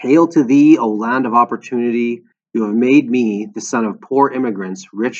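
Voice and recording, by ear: In quiet surroundings, a text is read out in a natural voice whose pitch varies in an ordinary way.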